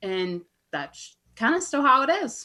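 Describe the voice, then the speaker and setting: Her pitch swinging very widely, a woman talks in an American accent. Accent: Southern US, comes and goes. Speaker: fellow podcaster, guest. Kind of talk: casual chat.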